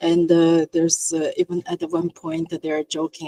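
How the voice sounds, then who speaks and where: A woman with a non-native accent, fairly low pitch and a moderate pace, in a dry, close sound with no echo. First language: not English. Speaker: VFX artist. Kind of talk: panel discussion.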